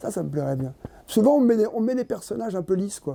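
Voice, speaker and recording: This man's voice has a dark, mellow tone. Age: 70s. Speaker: actor. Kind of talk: interview. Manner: halting.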